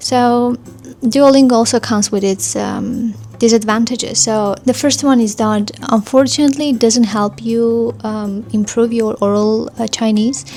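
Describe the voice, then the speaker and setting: A woman with an Armenian accent and a fairly high voice speaks at a moderate pace with ordinary pitch variation, over noticeable background noise. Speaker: vlogger, language learner. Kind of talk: casual vlog review. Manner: hesitant, many fillers.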